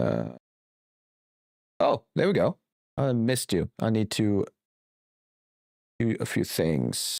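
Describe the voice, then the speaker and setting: In a very clean recording with a silent background and a dry, close sound with no echo, a man speaks with very even loudness and long, frequent pauses. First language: not English. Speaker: game developer and streamer. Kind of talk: live stream chat while 3D modelling. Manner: hesitant, searching for words.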